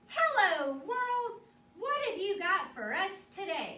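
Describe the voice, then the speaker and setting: Loud and at a fairly slow pace, a woman uses a put-on character voice pitched extremely high. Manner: loud, hearty.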